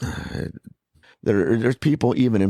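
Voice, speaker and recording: Recorded very cleanly against a silent background, a man speaks with lively intonation and a dark, mellow tone in a dry, close sound with no echo. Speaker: podcast co-host. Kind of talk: casual chat. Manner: hesitant with many fillers.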